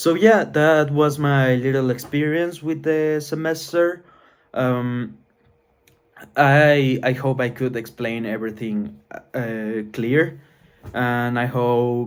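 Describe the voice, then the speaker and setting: Very slowly and with a non-native accent, a man speaks at medium pitch with ordinary pitch variation. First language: not English. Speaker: university student. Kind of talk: vlog. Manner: halting.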